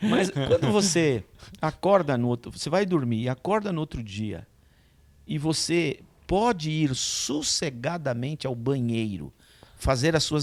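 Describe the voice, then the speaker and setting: A man speaks at a fairly high pitch and a fairly slow pace, with very wide pitch swings. The recording is very clean, with a silent background. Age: 60s. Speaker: pastor. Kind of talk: casual chat.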